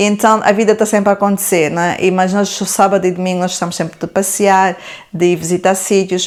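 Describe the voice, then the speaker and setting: This woman talks at a very fast pace. Her pitch is medium. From Portugal, Lisbon area (born in Angola). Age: 40s. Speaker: YouTuber. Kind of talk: Q&A vlog.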